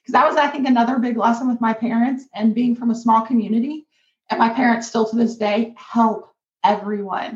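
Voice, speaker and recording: Fairly even intonation carries this fairly quickly paced speech. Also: woman, fairly high pitch for a woman. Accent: Kentucky. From rural northern Kentucky. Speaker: business co-owner and co-host. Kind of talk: interview storytelling.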